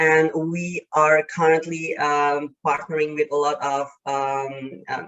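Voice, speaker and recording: A woman talks at a very slow pace. Her very deep, low pitch carries fairly even intonation. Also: hardly any pauses. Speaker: panelist, online violence support service worker. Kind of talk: panel presentation. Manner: hesitant, many fillers.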